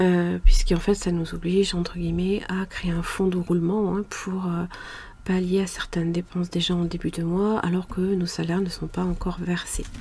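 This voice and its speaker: Over noticeable background noise, a soft-spoken woman talks at a moderate pace in a fairly low, monotone, flat voice. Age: 40s. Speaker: budgeting YouTuber. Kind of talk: casual budget vlog. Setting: home mezzanine. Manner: hesitant, many fillers.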